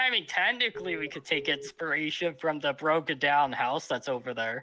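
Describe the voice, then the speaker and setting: Fairly high in pitch, a man talks at a moderate pace with ordinary pitch variation. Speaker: streamer. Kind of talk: casual chat. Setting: live stream. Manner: loud.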